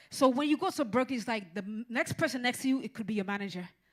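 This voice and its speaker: Somewhat breathy and animated, a woman talks at a very fast pace. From Caribbean, raised in Miami. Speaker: music business entrepreneur and seminar speaker. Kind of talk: seminar presentation. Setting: stage with live audience.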